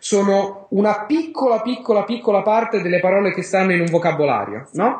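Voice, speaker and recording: The man's voice sits high in pitch. He keeps a moderate pace with lively intonation. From Rome, Italy. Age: 30s. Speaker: polyglot and language learning teacher. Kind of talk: interview.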